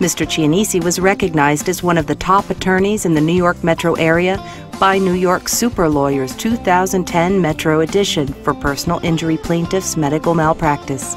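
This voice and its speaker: Fairly quick speech from a woman with a fairly low pitch, very even loudness and ordinary pitch variation, music playing in the background. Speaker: voice-over artist. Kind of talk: corporate promotional narration.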